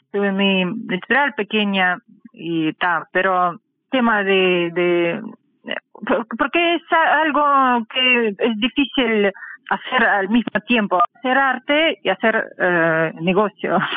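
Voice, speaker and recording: A woman speaks very slowly in a fairly high voice, her intonation lively. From Russian Far East (Khabarovsk). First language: Russian (speaking Spanish). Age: 40s. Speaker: artist and art teacher. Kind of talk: interview. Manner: halting.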